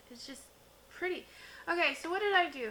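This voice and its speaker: A woman's raised, projected voice. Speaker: beauty youtuber. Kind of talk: makeup tutorial and review. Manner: casual, chatty.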